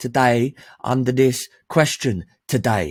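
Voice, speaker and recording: With a London accent, a man speaks in an animated tone. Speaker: men's life coach. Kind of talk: online training presentation.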